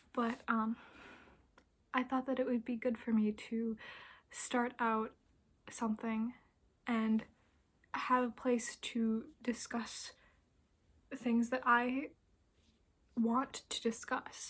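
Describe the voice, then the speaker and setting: Soft-spoken and high in pitch, a woman talks at a very slow pace in a flat monotone, with long, frequent pauses. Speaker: book vlogger. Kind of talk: casual vlog monologue.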